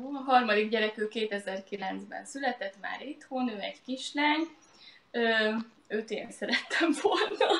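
A woman with a high pitch and lively intonation speaks at a very slow pace, her loudness swinging widely, with audible room echo. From Hungary. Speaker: lawyer and author, mother; interview guest. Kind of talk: live online interview. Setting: live Facebook video stream. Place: home room. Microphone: webcam.

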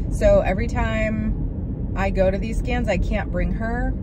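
Over loud background noise, a woman speaks very slowly in a dry sound with no echo. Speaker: lifestyle vlogger. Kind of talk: casual vlog talk to camera. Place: car. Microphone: phone near.

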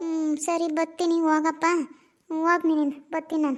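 A woman uses a cartoonish character voice at an extremely high pitch. Her delivery is fairly slow, with monotone, flat intonation. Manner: blunt, coarse.

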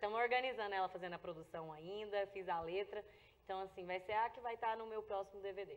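Very fast speech from a woman, the intonation fairly even. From Goiás, Brazil (rural). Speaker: singer; interview guest. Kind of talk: interview. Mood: warm, grateful. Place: studio.

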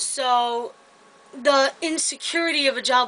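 A woman's high-pitched voice, bright and sharp, with fairly even intonation. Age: 20s. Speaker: vlogger and retail store employee. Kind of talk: casual vlog monologue. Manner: hesitant, many filler words. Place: home room. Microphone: webcam.

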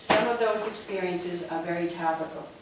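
Amid noticeable background noise and audible room echo, a woman talks at a fairly quick pace. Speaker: event host. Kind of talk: formal introduction. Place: hall.

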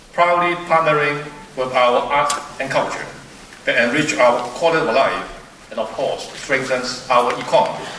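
A man at a moderate pace with fairly even intonation and long, frequent pauses, in audible room echo over light background noise. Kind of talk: formal speech. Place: stage. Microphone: podium.

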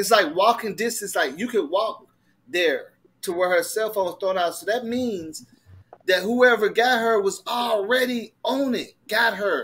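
Delivered in an animated tone, the speech moves at a fairly slow pace. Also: man, high pitch for a man, ordinary pitch variation. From Detroit, Michigan. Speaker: livestream host. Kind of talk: casual livestream discussion.

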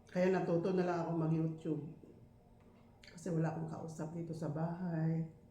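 The intonation is monotone and flat at a moderate pace. Room echo is audible, and background noise is noticeable. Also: woman, fairly low pitch for a woman. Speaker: vlogger. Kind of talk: casual eating vlog. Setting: at home.

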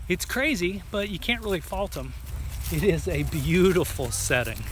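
Someone speaks at a fairly slow pace in a dry sound with no echo, with light background noise behind. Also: man. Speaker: travel vlogger. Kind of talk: casual vlog narration. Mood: relaxed, pleased. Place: open country. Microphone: phone near.

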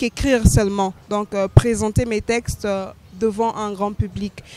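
A woman talks at a fairly slow pace over faint music in the background, in a dry sound with no echo. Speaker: interview guest, slam poet. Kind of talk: interview answer. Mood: calm, reflective. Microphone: handheld.

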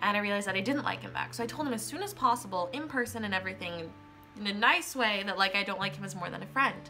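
Faint music sits in the background. Over it, a woman talks. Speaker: vlogger. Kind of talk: casual vlog chat. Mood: animated storytelling, slightly upset. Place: home room. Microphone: phone near.

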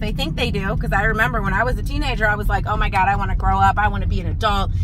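Noticeable background noise surrounds a woman's voice, recorded dry with no echo. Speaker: vlogger. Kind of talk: casual vlog chat. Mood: exasperated, joking about car troubles. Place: car. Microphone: phone near.

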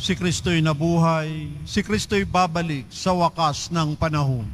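Here a man has a plain, everyday voice, pitched fairly high, with ordinary pitch variation. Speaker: lay commentator. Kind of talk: announcements; liturgical responses. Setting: church.

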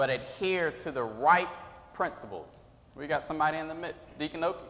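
A man in an animated tone at a moderate pace, with noticeable background noise. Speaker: preacher. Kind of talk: sermon. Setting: church. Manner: animated call-and-response preaching, urging the congregation to answer. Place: church. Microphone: podium.

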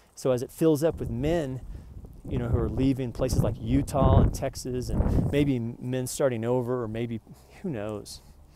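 Man with an American accent, medium pitch, dark, mellow tone, ordinary pitch variation and moderate pace, dry sound with no echo, noticeable background noise. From Oklahoma. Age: 40s. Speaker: vlogger. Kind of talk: rant. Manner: animated. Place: street. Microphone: earbuds.

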